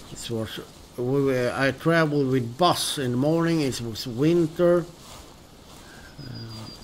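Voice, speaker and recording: A man with a Swedish accent at a medium pitch, very slow pace, long and frequent pauses, big swings in loudness, audible room echo and noticeable background noise. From Sweden. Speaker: gaming streamer. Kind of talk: casual gameplay commentary. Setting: live stream. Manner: halting, many fillers.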